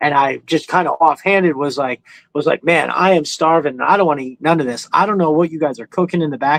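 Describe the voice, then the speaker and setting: A man talks at a very fast pace with a New York accent. His fairly high voice has ordinary pitch variation, recorded dry and close with no echo. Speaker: live stream host, toy collector. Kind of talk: casual chat. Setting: live stream. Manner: animated, casual storytelling.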